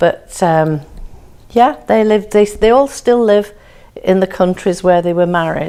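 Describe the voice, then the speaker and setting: A woman's medium-pitched voice with a dark, mellow tone and an English accent, at a very slow pace with ordinary pitch variation. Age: 70s. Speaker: family history narrator. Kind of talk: personal reminiscence. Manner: halting.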